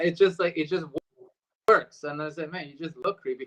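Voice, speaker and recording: The voice is that of a man, pitched high. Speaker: voice and screen actor. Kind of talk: casual interview chat.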